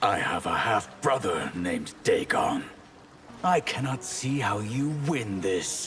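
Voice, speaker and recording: Clear background noise sits behind a man doing a put-on character voice. He speaks at a fairly slow pace. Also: medium pitch for a man. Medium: video game. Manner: measured, solemn.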